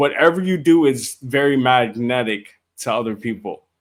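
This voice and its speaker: On a very clean recording with a silent background, a man with a medium pitch talks at a fairly slow pace with ordinary pitch variation. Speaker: podcast host. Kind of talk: casual chat. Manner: slow and steady.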